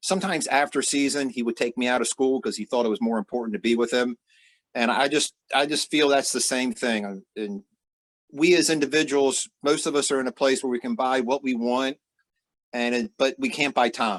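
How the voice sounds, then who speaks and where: In a dry, close recording with no echo, a man with an unremarkable speaking voice talks at a fairly quick pace and medium pitch, with ordinary pitch variation. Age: 60s. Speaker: father interviewed on podcast. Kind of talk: interview.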